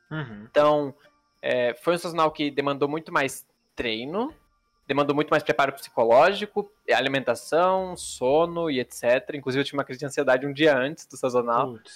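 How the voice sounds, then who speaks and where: A man's fairly high, ordinary speaking voice at a moderate pace, with ordinary pitch variation, big swings in loudness, and a very clean recording with a silent background. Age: 20s. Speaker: pro card game player and streamer. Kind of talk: casual interview.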